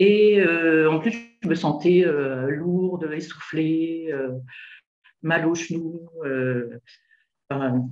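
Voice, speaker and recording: A woman's fairly low voice with ordinary pitch variation, a very slow pace broken by long, frequent pauses, and audible room echo. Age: 60s. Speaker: retired nurse, coaching client. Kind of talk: interview testimony. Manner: hesitant, many fillers.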